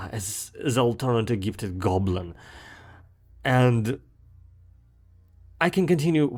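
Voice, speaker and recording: Speaking at a fairly slow pace with a strong Russian accent, a man is heard on a very clean recording against a silent background. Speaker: gaming video creator. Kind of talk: commentary monologue. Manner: frequent fillers and repetitions.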